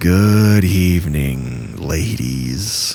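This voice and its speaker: In a put-on character voice, a man speaks at a very deep, low pitch. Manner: slow, unsettling.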